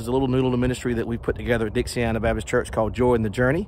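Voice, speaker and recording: Very fast male speech at a medium pitch, with a dry sound with no echo and light background noise. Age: 40s. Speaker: pastor. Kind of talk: devotional vlog; church announcement. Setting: outdoors. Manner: casual, conversational. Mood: warm, friendly. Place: open country. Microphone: phone near.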